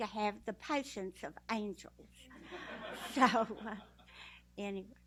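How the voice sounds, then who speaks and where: A bright, sharp tone in a Texas accent, with ordinary pitch variation and a fairly slow pace. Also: woman. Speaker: blind guide dog user, graduate. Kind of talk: speech at a ceremony.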